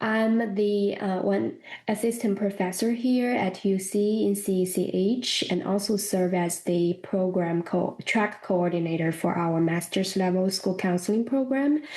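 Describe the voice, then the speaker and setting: With a Chinese accent, the speaker moves at a fairly slow pace, holding very even loudness, ordinary pitch variation and hardly any pauses. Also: woman, medium pitch for a woman. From China. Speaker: professor of school counseling. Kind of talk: interview.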